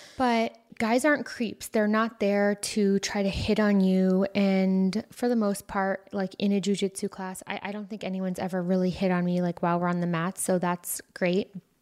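A woman's plain, everyday voice at a medium pitch, with an American accent, fairly even intonation and hardly any pauses, on a very clean recording with a silent background. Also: moderate pace. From United States. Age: 30s. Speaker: podcast host. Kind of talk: solo monologue podcast.

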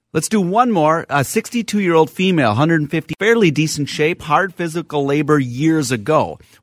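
A man's plain, everyday voice at a fairly high pitch, fairly quick and lively, with hardly any pauses and a dry, close sound with no echo. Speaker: physician and radio host. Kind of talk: call-in radio health talk. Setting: radio studio.

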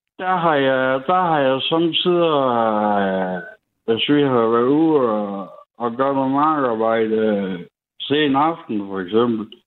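A man speaks at a very slow pace and medium pitch, with lively intonation. Audible room echo surrounds the voice. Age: 30s. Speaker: radio caller. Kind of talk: storytelling.

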